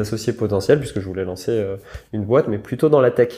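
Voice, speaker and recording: The man's voice sits at a medium pitch. It has a dark, mellow tone. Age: 20s. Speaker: entrepreneur. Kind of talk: interview. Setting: at the guest's home.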